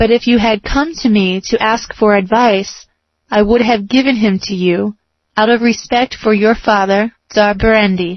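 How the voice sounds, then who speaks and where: A woman performs a put-on character voice at a fairly high pitch. Her pace is moderate. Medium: read story. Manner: stern, commanding.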